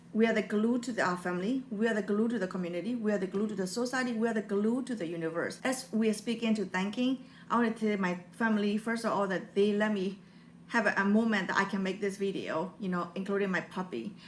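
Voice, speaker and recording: With a Burmese accent, a woman at a medium pitch speaks at a very fast pace with fairly even intonation. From Burma. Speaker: motivational YouTuber. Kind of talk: personal vlog talk. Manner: halting.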